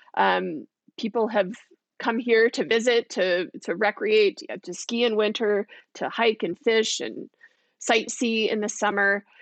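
A woman with an American accent speaks fairly slowly in a fairly high voice with ordinary pitch variation, the sound dry and close with no echo over a quiet background. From Southern California, Lancaster. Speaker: county supervisor. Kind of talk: interview.

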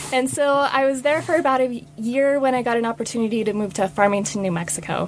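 A woman with an American accent speaks at a fairly quick pace and a fairly high pitch, her intonation lively, over noticeable background noise. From US Mountain West (Utah, Wyoming, Idaho). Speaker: public land manager. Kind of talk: interview. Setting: studio.

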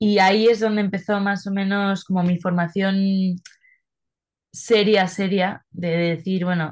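A woman speaks in a monotone, with flat intonation throughout. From Spain (Madrid). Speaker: singer-songwriter. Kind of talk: interview.

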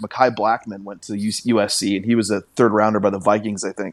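With an American accent, a man speaks at a fairly low pitch. He has a normal speaking voice. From western Washington (Carnation). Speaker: sports journalist. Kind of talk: casual chat.

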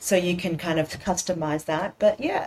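Speaking at a moderate pace with an Australian accent, a woman keeps a fairly low pitch and fairly even intonation. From Sydney, Australia. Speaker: cookbook author. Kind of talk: interview conversation. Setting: video call.

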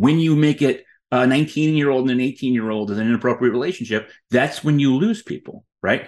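With an American accent, a man speaks in a normal speaking voice of medium pitch, with ordinary pitch variation and hardly any pauses. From United States. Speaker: journalist and author. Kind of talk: interview.

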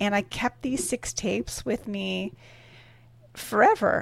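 A woman with a Canadian accent speaks at a medium pitch and a fairly slow pace. The recording is very clean, with a silent background. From Canada. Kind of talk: interview. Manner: halting.

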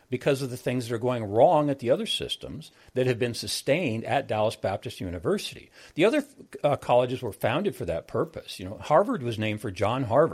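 With an American accent, a man of medium pitch talks at a very fast pace with lively intonation and a somewhat breathy sound, in a very clean recording with a silent background. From US Midwest, South Dakota. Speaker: business professor. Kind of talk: interview conversation.

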